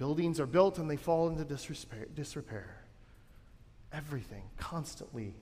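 A man speaks at a fairly slow pace with a fairly high pitch and a dark, mellow tone. His voice is somewhat breathy, and audible room echo surrounds it. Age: 30s. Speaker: pastor. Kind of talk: sermon. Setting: church. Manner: conversational, with filler words.

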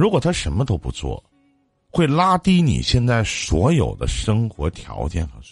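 At a fairly slow pace, a somewhat breathy man speaks with very wide pitch swings. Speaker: radio call-in advice host. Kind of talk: live call-in advice show. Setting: live stream.

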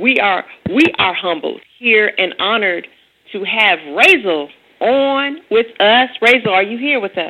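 A woman speaks in a normal speaking voice at a fairly high pitch. Her pace is fairly slow and her intonation lively. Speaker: radio host. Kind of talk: radio interview. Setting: phone call.

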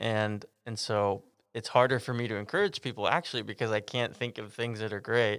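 A man with an American accent, a normal speaking voice of medium pitch and fairly even intonation, on a very clean recording with a silent background. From Texas. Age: 20s. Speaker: campus pastor. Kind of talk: casual chat.

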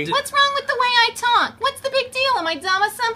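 A put-on character voice at an extremely high pitch races along at a very fast pace over clear background noise. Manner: indignant, defensive.

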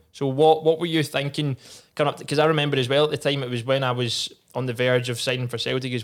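In a Scottish accent, a man speaks at medium pitch with monotone, flat intonation. The recording is very clean, with a silent background. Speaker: podcast host, former footballer. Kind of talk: casual chat. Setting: studio.

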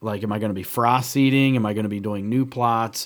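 Here is an ordinary speaking voice, a man at medium pitch and moderate pace. His intonation is fairly even, and the recording is very clean with a silent background. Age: 40s. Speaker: hunting podcast co-host, timber buyer. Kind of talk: casual chat. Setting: studio.

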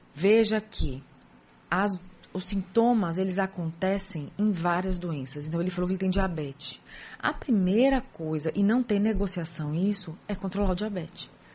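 A woman speaks at a moderate pace with a somewhat breathy voice and ordinary pitch variation. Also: medium pitch for a woman. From São Paulo, Brazil. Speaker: rheumatologist. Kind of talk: radio interview. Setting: radio studio.

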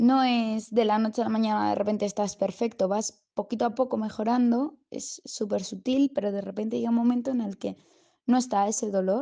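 Moderately paced speech in a dark, mellow tone, its intonation fairly even. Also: woman. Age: 20s. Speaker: patient giving a testimonial. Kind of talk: testimony. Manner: halting, with frequent repetitions.

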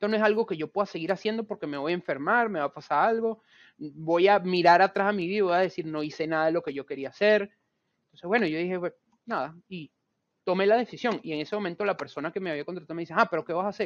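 A man talks at a very fast pace in a high pitch with ordinary pitch variation. The sound is dry and close, with no echo. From Venezuela. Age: 30s. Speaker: chemical engineer and creative studio director. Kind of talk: interview.

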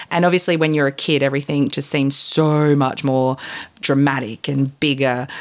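A woman's very deep, low voice with an Australian accent, monotone and flat in intonation, at very even loudness. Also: moderate pace. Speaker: guest co-host. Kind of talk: casual chat.

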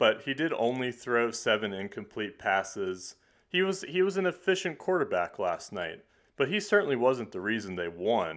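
A man with an American accent, a medium pitch, a moderate pace and very wide pitch swings. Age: 20s. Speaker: podcast host. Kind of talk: casual chat.

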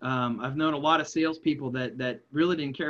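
A man with a normal speaking voice talks at a fairly quick pace. His pitch is fairly high, with ordinary variation. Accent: American. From West Virginia, Wheeling area. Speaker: leadership speaker and nonprofit consultant. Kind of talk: interview. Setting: remote call.

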